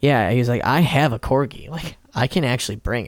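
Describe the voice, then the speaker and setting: Speaking with an American accent, a man uses a medium pitch and ordinary pitch variation. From Chicago area. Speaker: podcast co-host, musician. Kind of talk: casual chat over drinks.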